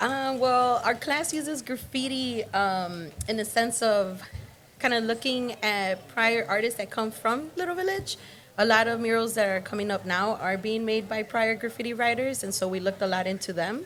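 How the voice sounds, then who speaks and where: An unremarkable speaking voice belongs to this woman, who talks at a moderate pace, pitched fairly high, with ordinary pitch variation. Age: 20s. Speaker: graffiti art instructor. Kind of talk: interview.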